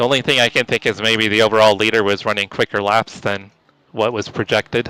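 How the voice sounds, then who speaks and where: A man talks very fast and quietly in a bright, sharp tone, his intonation monotone and flat, recorded with a dry, close sound and no echo. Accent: American. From California. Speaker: sim racing streamer. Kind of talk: casual chat during live gameplay. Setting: voice chat on Discord.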